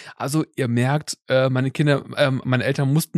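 Recorded very cleanly against a silent background, with a dry, close sound and no echo, a man speaks in a normal speaking voice at a fairly quick pace, with fairly high pitch and fairly even intonation. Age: 30s. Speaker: tech podcast host. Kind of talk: casual chat.

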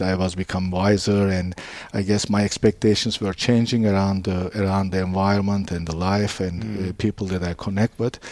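A man speaks in a flat, monotone way with hardly any pauses. His voice is fairly low, with a dark, mellow tone. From Istanbul, Turkey. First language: Turkish. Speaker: business founder. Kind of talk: interview. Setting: in his store. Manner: halting.

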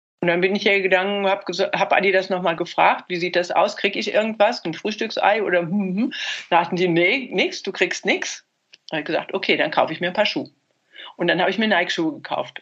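A woman with a medium-pitched voice delivers her words very quickly. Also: ordinary pitch variation. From Germany. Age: 70s. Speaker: former marathon runner. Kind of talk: interview. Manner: hesitant with fillers.

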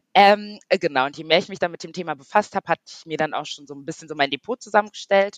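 A medium-pitched woman at a very fast pace, recorded with a dry, close sound and no echo. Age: 30s. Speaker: online beauty industry worker, course participant. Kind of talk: interview. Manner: hesitant, many fillers.

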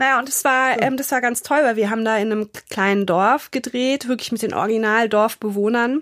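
In a normal speaking voice, a woman talks at a fairly quick pace, fairly high in pitch with fairly even intonation. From Germany, Frankfurt area. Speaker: grief counselor, former model and actress. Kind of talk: interview conversation.

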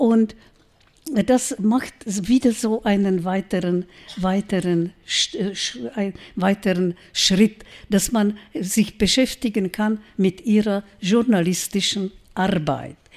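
A woman with a Czech accent and medium pitch, very slow with long, frequent pauses and ordinary pitch variation. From Czech Republic, Brno. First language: Czech (speaking German). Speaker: writer and journalist. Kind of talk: lecture. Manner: halting.

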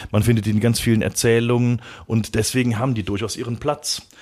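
Recorded very cleanly against a silent background, a man with an unremarkable speaking voice talks at a medium pitch. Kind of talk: casual chat.

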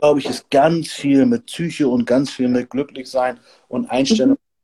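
Medium in pitch, a man's voice has a dark, mellow tone, ordinary pitch variation and a moderate pace. The sound is dry and close, with no echo. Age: 50s. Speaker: host of an expert talk on hormones. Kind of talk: casual livestream talk.

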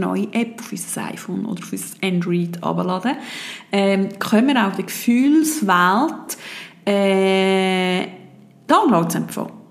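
Noticeable background noise sits under a woman's medium-pitched voice. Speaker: podcast host and meditation guide. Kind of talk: guided meditation. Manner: calm, gentle, dreamy with long pauses.

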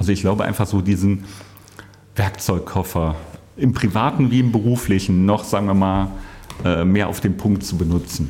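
At a moderate pace and fairly low pitch, a man speaks with fairly even intonation and long, frequent pauses. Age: 50s. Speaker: IT workforce manager. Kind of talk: casual interview.

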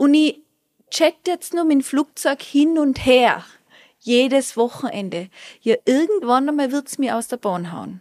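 On a very clean recording with a silent background and a dry, close sound with no echo, a woman speaks at a high pitch and fairly slow pace with lively intonation. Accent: Tyrolean. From Austria, Tyrol. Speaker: Ayurveda specialist and resort manager. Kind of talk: interview. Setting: on location at a hotel.

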